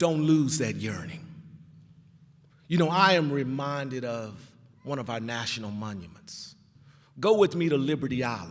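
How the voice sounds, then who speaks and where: Over long, frequent pauses and audible room echo, a man with an American accent speaks at a moderate pace and medium pitch, his animated tone carried by lively intonation and big swings in loudness. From Texas, Fort Worth (Stop Six). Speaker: commencement speaker, hospital leader. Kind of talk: commencement speech. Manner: animated, preacher-like.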